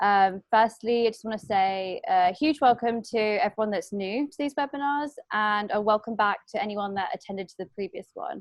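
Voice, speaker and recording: A woman with a British accent at a fairly high pitch, with ordinary pitch variation, a moderate pace and big swings in loudness. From UK. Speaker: fashion designer and webinar host. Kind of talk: webinar introduction. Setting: video call webinar. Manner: hesitant, many fillers.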